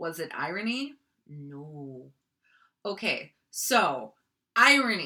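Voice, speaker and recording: A woman's fairly low, bright and sharp voice at a very slow pace, with very wide pitch swings and long, frequent pauses. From North Dakota, Minot. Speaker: online video creator. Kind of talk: casual explainer. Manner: casual, filler-heavy.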